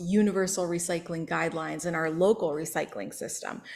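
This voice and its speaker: The woman keeps a moderate pace as she talks. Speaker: sustainability educator. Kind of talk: presentation. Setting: public meeting with Zoom audience. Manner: loud.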